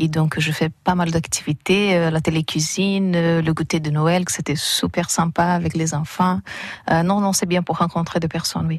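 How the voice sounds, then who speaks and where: Speaking in a Brazilian accent, a woman uses monotone, flat intonation at a fairly low pitch and a moderate pace. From Brazil, São Paulo. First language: Portuguese (speaking French). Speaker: English teacher, newcomer. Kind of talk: radio interview. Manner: halting.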